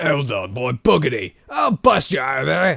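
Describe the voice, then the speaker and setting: Using a put-on character voice, a man talks at a moderate pace in a raspy, medium-pitched voice. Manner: forced, exaggerated.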